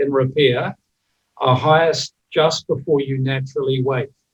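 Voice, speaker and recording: Somewhat breathy, a man speaks with a New Zealand accent in flat, monotone intonation. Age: 60s. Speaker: recovery coach. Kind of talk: presentation. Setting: video call.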